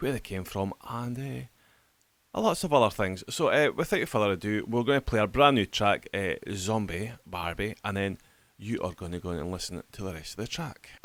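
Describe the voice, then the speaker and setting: This man has a Scottish accent and a fairly low pitch, with lively intonation at a moderate pace. The recording is very clean, with a silent background. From Scotland. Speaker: radio host. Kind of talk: radio interview. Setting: radio studio.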